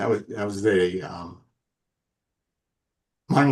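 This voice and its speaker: A man talks at a fairly slow pace with an American accent, his voice somewhat breathy. His pitch sits fairly low, with ordinary variation. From Brooklyn, New York. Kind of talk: audience comment in online discussion.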